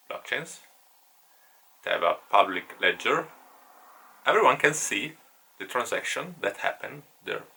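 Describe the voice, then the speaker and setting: This man has an Italian accent. He speaks at a fairly slow pace. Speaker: online course teacher. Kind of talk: lecture. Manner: halting.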